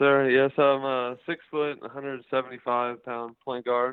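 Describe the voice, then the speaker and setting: The speaker uses a monotone, flat delivery at a moderate pace in an American accent. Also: man. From Las Vegas, Nevada. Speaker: basketball player. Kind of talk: interview.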